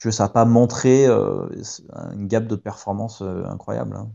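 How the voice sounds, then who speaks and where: This is a male voice. The intonation stays fairly even. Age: 30s. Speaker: Olympic rower. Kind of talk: interview. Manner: hesitant, many fillers.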